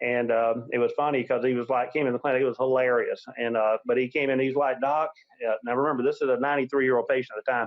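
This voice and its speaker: A man talks at a very fast pace in a monotone, flat intonation. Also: medium pitch for a man. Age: 50s. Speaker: chiropractor and clinic director. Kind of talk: interview. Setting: webinar.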